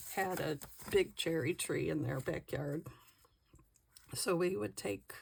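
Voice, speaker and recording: Speaking at a fairly slow pace, a woman uses a very deep, low pitch with very wide pitch swings and vocal fry. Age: 60s. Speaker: crafting vlogger. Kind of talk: casual chat while crafting.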